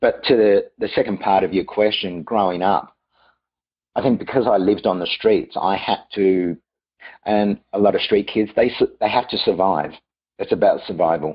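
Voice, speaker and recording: An Australian accent at a moderate pace. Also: man. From Australia, Melbourne. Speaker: private chef. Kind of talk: interview.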